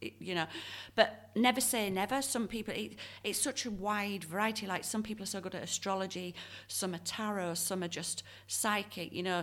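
The voice moves at a moderate pace with ordinary pitch variation. The recording is very clean, with a silent background. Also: woman, medium pitch for a woman. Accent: Yorkshire. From northern England, Leeds. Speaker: tarot reader and medium. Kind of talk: interview.

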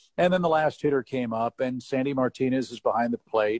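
A man with an American accent and a normal speaking voice talks at a moderate pace, the sound dry and close with no echo. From US Midwest, St. Louis. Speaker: baseball play-by-play announcer. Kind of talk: storytelling interview.

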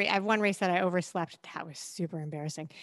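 A woman at a medium pitch with fairly even intonation against a quiet background. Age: 40s. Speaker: endurance athlete and podcaster. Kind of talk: casual chat.

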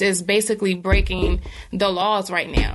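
A woman with an American accent, medium in pitch, with monotone, flat intonation at a moderate pace, over noticeable background noise. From North Carolina, Bertie County. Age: 20s. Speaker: author. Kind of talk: casual chat.

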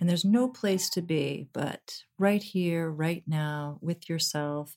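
A woman with an unremarkable speaking voice talks at a fairly slow pace, her pitch fairly low with ordinary variation. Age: 40s. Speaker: actress and meditation teacher. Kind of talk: casual interview; guided meditation. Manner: soft-spoken.

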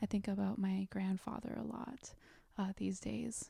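In an American accent, a woman talks at a moderate pace with a dry, close sound and no echo. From South Korea, then Florida from age nine. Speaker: yoga philosophy scholar and life coach. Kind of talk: interview conversation.

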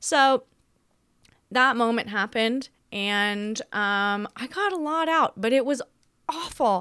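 With an American accent, a woman speaks in an animated tone with very wide pitch swings. The recording is very clean, with a silent background. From Australia. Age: 20s. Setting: home recording, motorcycle noise in background. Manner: animated, chaotic, humorous.

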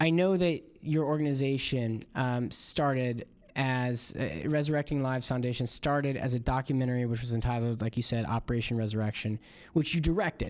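A man speaks in an ordinary speaking voice with an American accent, at a medium pitch. His pace is fairly quick, with ordinary pitch variation. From Florida. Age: 30s. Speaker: podcast host. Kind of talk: interview; casual monologue.

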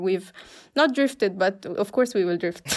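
Here a woman is speaking. She has an Arabic accent. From Egypt. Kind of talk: casual chat. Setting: video call.

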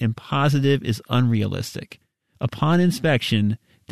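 Someone reads aloud in a natural voice. Nothing but quiet surrounds it.

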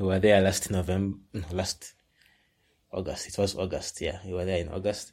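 A man speaks with a Ugandan accent at a very deep, low pitch. His delivery is monotone and flat, at a moderate pace. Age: 20s. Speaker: science communicator. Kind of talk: casual interview. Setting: video call.

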